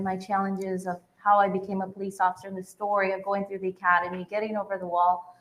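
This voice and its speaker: Speaking with a Spanish accent, the voice keeps a moderate pace. Its intonation is monotone and flat. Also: woman. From Arizona, Tempe. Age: 20s. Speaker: police detective. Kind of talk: panel discussion.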